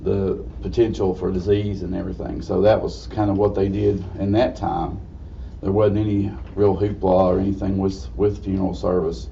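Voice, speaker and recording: This man has a very deep, low pitch and an Appalachian accent, talking at a moderate pace with ordinary pitch variation. Audible room echo and noticeable background noise surround him. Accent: Southern US (Appalachian). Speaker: funeral director. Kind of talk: lecture.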